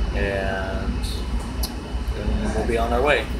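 A man speaks at a very slow pace over loud background noise. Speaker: commuter vlogger. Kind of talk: casual vlog chat. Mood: mildly annoyed, amused. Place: train. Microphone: phone near.

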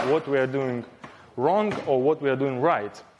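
A man talks with ordinary pitch variation. Noticeable background noise is present. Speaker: conference speaker. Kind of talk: lecture. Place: hall.

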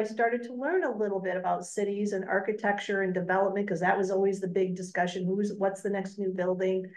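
A woman talks very fast with an American accent at a medium pitch. The background is quiet. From US Midwest. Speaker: chamber of commerce president. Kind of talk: panel discussion. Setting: stage with audience.

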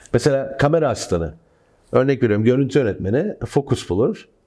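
Over a quiet background, a man with a dark, mellow tone and vocal fry speaks at a moderate pace, his pitch swinging very widely. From Turkey. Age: 30s. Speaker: film director; guest. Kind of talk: casual chat. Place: studio. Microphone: lapel.

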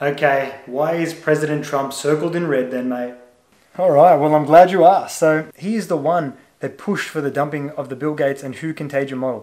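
This man has an Australian accent and a fairly high pitch. He speaks at a fairly quick pace with fairly even intonation. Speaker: YouTube channel creator. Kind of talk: solo video monologue commenting on on-screen material. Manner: casual with many filler words.

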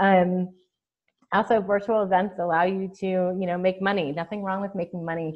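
The speaker talks at a moderate pace with monotone, flat intonation in an American accent, against a quiet background. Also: woman. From Chicago. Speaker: email marketing strategist and virtual event producer; webinar presenter. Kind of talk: webinar training presentation. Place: home room. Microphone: video call.

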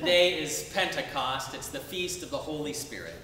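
Audible room echo and light background noise surround a man as he talks. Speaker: Episcopal bishop. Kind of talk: sermon. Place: church.

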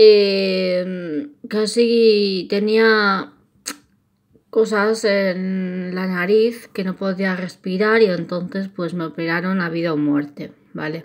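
This woman's intonation stays fairly even as she talks very slowly. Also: medium pitch for a woman. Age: 20s. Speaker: YouTuber. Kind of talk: casual vlog narration. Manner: halting.

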